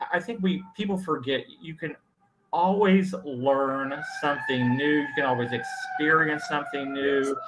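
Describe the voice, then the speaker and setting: A man with an unremarkable speaking voice talks at a fairly slow pace. His pitch is fairly high, with ordinary variation. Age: 60s. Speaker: author. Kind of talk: casual interview.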